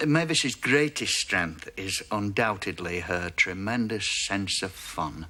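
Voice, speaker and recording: Speaking at a fairly slow pace, this man has a fairly low pitch, a bright, sharp tone and ordinary pitch variation. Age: 60s. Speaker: dating show contestant, war veteran. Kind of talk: recorded interview segment recounting a date.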